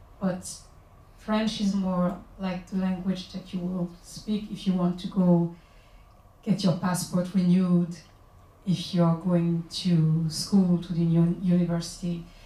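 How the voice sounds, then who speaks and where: A woman speaks at a very slow pace in a somewhat breathy, dark, mellow tone with fairly even intonation. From Guadeloupe. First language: Guadeloupean Creole. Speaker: singer-songwriter and author. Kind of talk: book launch talk. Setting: bookshop event with audience.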